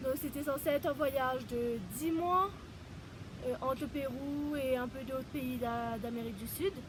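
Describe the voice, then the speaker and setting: Amid noticeable background noise, a woman with a high pitch and ordinary pitch variation speaks at a fairly slow pace. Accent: Mauritian. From Mauritius. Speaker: holistic therapist. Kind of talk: personal introduction vlog. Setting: outdoors in mountains. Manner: halting.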